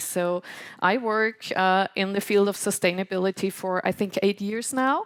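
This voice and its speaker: A woman with a non-native accent speaks at a moderate pace and medium pitch, with ordinary pitch variation. The sound is dry and close with no echo, on a very clean recording with a silent background. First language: German. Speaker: podcast host and moderator. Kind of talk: live podcast event moderation. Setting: stage with audience. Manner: hesitant, many fillers.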